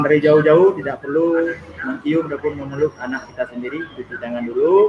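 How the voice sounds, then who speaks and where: Against noticeable background noise, a man with an Aceh accent speaks at a fairly quick pace and a fairly high pitch, with ordinary pitch variation. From Aceh, Indonesia. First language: Acehnese (speaking Indonesian). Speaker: YouTuber guest. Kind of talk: live stream casual talk. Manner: halting.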